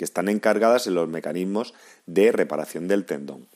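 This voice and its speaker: A man's plain, everyday voice, fairly low in pitch, with ordinary pitch variation and a moderate pace, on a very clean recording with a silent background. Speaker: physiotherapist and podcast host. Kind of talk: scripted narration. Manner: formal.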